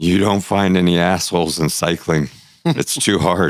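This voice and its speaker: In a put-on character voice, a man speaks raspy and very deep, with fairly even intonation at a moderate pace. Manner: bad imitation, drifting toward Australian.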